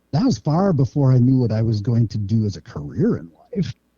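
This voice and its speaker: A man with an Upper Midwest accent talks at a very fast pace in a medium-pitched voice. His intonation is lively and his voice somewhat breathy. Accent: Upper Midwest American. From northern Minnesota, US. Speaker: kindergarten teacher and fishing guide. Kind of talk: podcast interview.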